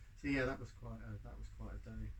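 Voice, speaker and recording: Room echo is audible in this clip. The voice belongs to a man. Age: 60s. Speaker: climate activist. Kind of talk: panel talk with audience Q&A. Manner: hesitant, many fillers.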